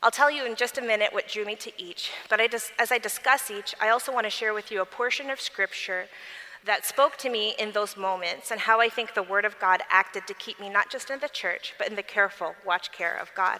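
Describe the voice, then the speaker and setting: Through noticeable background noise, a woman with a fairly high pitch speaks fairly quickly with ordinary pitch variation. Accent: American. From US Midwest, Michigan. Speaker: lawyer and convention speaker. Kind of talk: testimony.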